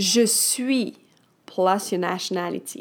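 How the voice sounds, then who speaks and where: A woman with a French accent speaks at a very slow pace, her pitch swinging very widely. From France. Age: 30s. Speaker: French teacher. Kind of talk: language lesson. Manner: animated.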